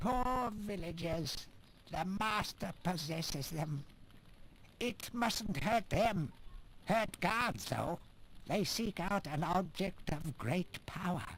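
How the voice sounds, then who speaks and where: Putting on a character voice pitched high for a man, he speaks at a very slow pace with long, frequent pauses over clear background noise. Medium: video game.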